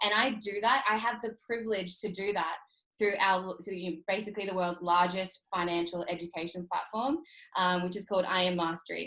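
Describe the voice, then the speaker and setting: A woman's bright, sharp voice with an Australian accent, medium pitch, ordinary pitch variation and a fairly quick pace. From Australia, North Queensland. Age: 30s. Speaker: entrepreneur and trading mentor. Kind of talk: motivational webinar talk. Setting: online video call. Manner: energetic, emphatic.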